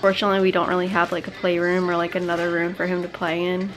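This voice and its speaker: A woman speaks with faint music in the background. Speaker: stay-at-home mom vlogger. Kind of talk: casual vlog chat. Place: home room. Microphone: phone near.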